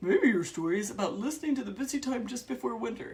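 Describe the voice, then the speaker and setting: This is a put-on character voice with a fairly high pitch. It moves at a very fast pace. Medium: read story.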